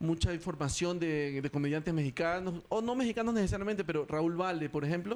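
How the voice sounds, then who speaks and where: A man with a high pitch speaks at a very fast pace with hardly any pauses. His loudness is very even, and his pitch variation is ordinary. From Ecuador. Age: 40s. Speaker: stand-up comedian. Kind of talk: interview.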